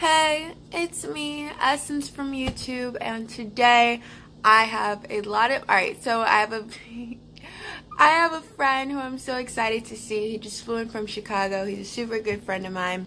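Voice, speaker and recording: A woman speaks at a moderate pace in a bright, sharp tone with ordinary pitch variation. Light background noise sits behind her. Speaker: vlogger. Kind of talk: casual vlog chat. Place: home room. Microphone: phone near.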